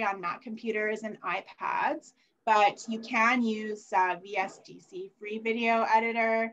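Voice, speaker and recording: A woman's fairly high-pitched, normal speaking voice at a fairly slow pace. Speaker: library staff presenter. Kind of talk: conference presentation.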